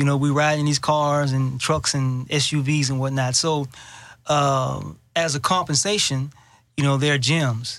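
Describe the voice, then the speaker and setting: Fairly high in pitch, a man speaks at a fairly slow pace with fairly even intonation and very even loudness. The recording is very clean, with a silent background. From Texas, Houston. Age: 40s. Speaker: fitness instructor and boxing gym owner. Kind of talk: interview.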